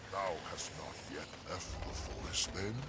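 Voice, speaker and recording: A man's put-on character voice, fairly low in pitch, over loud background noise. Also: moderate pace. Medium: game stream. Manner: archaic, slow.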